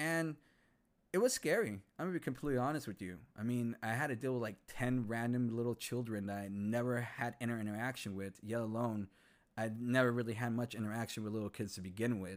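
A man with an American accent talks at a fairly quick pace in a plain, everyday voice of medium pitch, recorded very cleanly against a silent background. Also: ordinary pitch variation. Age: 30s. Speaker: podcast host and English teacher. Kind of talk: casual personal monologue.

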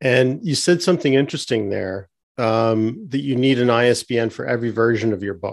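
At a fairly quick pace, a man with an unremarkable speaking voice talks at a medium pitch with ordinary pitch variation. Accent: Canadian. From Canada. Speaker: podcast host. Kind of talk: interview.

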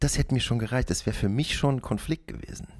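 The background is silent and the recording very clean. The voice belongs to a man. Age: 40s. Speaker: solo podcaster. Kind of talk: casual monologue. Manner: rambling with many fillers.

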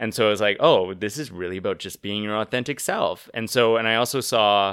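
A man with a Canadian accent, medium pitch, a fairly quick pace and an unremarkable speaking voice. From Canada, rural Saskatchewan. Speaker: yoga teacher and sex worker. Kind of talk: casual interview.

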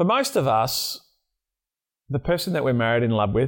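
Over a silent background in a very clean recording, a man speaks with an Australian accent. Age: 40s. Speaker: podcast host. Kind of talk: interview.

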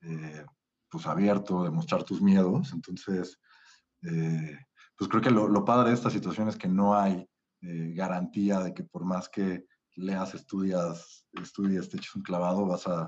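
His pitch is very deep and low. The man speaks at a fairly slow pace with fairly even intonation. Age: 30s. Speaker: podcast guest, spiritual course participant. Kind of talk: casual chat.

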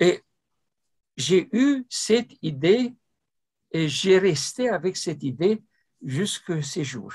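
A man's high voice with a Romanian accent, very slow, full of long, frequent pauses and very wide pitch swings, in a dry, close sound with no echo. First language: Romanian (speaking French). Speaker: ufologist and retired mathematician. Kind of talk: interview. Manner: halting.

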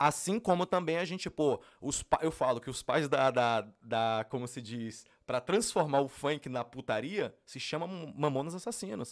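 A man with a fairly high pitch and an ordinary speaking voice talks at a fairly slow pace with lively intonation. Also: very clean recording, silent background. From Brasília, Brazil. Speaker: funk singer. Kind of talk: casual interview.

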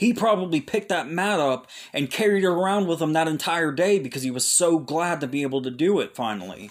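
Talking at a fairly quick pace with hardly any pauses, a man has a normal speaking voice at a fairly high pitch. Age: 30s. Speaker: Bible teacher. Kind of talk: Bible teaching monologue. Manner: casual, with filler words.

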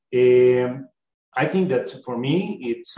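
A man speaks with a Spanish accent. His pace is fairly slow and his pitch is medium. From Colombia. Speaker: exchange student. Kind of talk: panel discussion. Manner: halting, many fillers.

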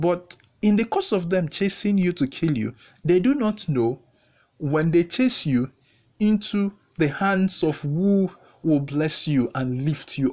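Recorded very cleanly against a silent background, a man speaks with a high pitch. His intonation is lively and his pace fairly slow. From Nigeria (Igbo). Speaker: podcast host. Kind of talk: solo motivational talk.

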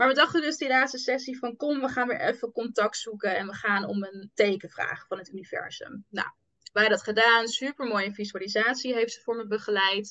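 A woman speaks at a fairly high pitch and a fairly quick pace, with ordinary pitch variation. It is an unremarkable speaking voice. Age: 20s. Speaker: entrepreneur, manifestation coach. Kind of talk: casual interview chat.

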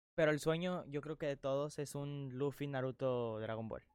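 A man at a fairly high pitch and moderate pace. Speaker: podcast co-host. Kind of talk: casual chat. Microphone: new sponsored microphone.

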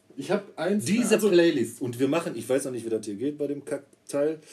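This man's voice is dark and mellow, fairly high in pitch, and moves at a fairly quick pace with very wide pitch swings. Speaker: podcast co-host, trained roofer. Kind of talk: casual chat.

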